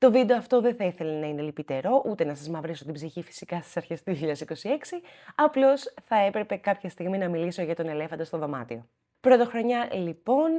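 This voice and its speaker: A woman speaks at a fairly quick pace in a dark, mellow, fairly low voice, with very wide pitch swings and big swings in loudness. The recording is very clean, with a silent background. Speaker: cat rescuer and video host. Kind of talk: personal vlog talk to camera.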